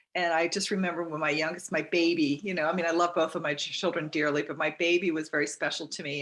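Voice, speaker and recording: A woman with an ordinary speaking voice and a fairly low pitch talks at a fairly quick pace. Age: 60s. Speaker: Medicare insurance agent. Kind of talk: casual chat.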